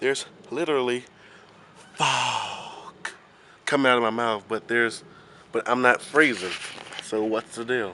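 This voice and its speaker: A man at a medium pitch with fairly even intonation, a fairly slow pace and long, frequent pauses over noticeable background noise. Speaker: vlogger. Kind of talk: casual vlog. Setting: outdoors at night.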